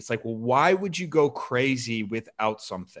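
Bright, sharp tone from a man with an American accent, medium pitch, and a fairly slow pace. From Chicago suburbs. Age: 30s. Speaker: weightlifting coach. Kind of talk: casual chat.

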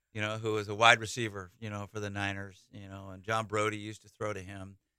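A bright, sharp tone in a Californian accent, on a very clean recording with a silent background. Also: man. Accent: Californian American. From Northern California (Saratoga, San Jose area). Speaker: college baseball head coach. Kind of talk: radio interview. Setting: radio studio. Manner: energetic, enthusiastic.

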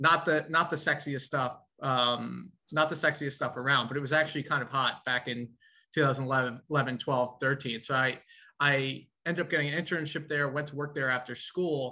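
A bright, sharp tone with an American accent, fairly even intonation, moderate pace, and a quiet background. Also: man, fairly high pitch for a man. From New York. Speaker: finance executive, ETF founder. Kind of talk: podcast interview.

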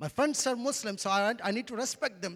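In an Indian accent, a man speaks at a moderate pace with a high pitch and an animated tone. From India, Andhra Pradesh. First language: Telugu. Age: 30s. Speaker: pastor. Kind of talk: sermon. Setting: church.

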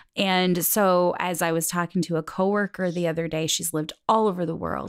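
Recorded very cleanly against a silent background, a woman speaks with an Upper Midwest US accent and ordinary pitch variation. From US Midwest, South Dakota (Sioux Falls). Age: 40s. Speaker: podcast guest. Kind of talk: casual chat. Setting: in-person conversation at a house.

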